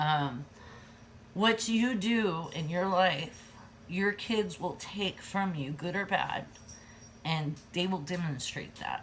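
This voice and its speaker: A woman speaks very slowly in a fairly low, somewhat breathy voice with ordinary pitch variation. She leaves long, frequent pauses. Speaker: lifestyle vlogger. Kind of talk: casual vlog talk. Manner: animated, giggly when passionate.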